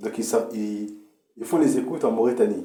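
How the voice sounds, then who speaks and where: Man at a fairly slow pace with audible room echo. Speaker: political commentator. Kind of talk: political monologue. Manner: halting.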